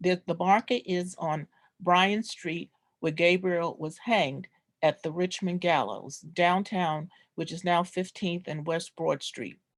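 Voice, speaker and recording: A woman with an unremarkable speaking voice talks at a fairly slow pace and a fairly low pitch, with fairly even intonation. The sound is dry and close with no echo. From New York (Brooklyn). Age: 60s. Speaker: descendant presenting family history. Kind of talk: oral history presentation.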